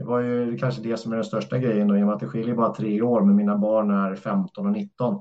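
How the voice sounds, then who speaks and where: A man with an ordinary speaking voice talks at a moderate pace and medium pitch, with lively intonation. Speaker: floorball referee. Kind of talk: casual interview.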